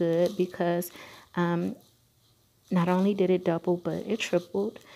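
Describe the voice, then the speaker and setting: In a very clean recording with a silent background, a woman speaks quietly with a dark, mellow tone, a fairly low pitch and fairly even intonation. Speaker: vlogger, night shift nurse. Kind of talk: personal vlog update. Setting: at work during night shift, hospital. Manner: quiet, talking low; hesitant, many fillers.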